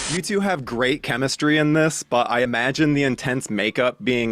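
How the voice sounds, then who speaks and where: A plain, everyday voice: a man at medium pitch, moderate pace and lively intonation, in a dry, close sound with no echo. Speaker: interviewer. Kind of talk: interview questions.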